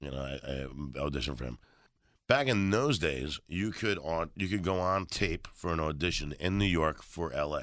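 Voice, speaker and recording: Lively intonation and vocal fry in a very clean recording with a silent background. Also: man, very deep, low pitch for a man, moderate pace. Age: 40s. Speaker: comedian. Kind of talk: casual chat.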